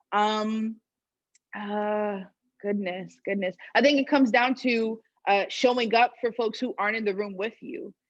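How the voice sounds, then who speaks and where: With ordinary pitch variation, a woman's fairly high voice comes over a quiet background. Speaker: student activist panelist. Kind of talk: panel discussion. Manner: loud; halting, many fillers.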